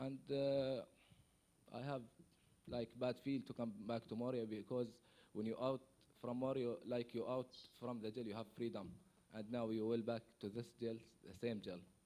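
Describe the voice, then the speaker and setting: A man with an Arabic accent speaks at a moderate pace and medium pitch in a dark, mellow tone, with fairly even intonation and long, frequent pauses. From Syria, Palestinian refugee. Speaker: refugee. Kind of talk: conference testimony. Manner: halting, hesitant.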